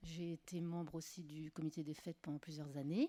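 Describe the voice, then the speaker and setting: Speaking at a moderate pace, a woman uses a very deep, low pitch and a dark, mellow tone with fairly even intonation. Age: 50s. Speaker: municipal election candidate. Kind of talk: self-introduction at a meeting.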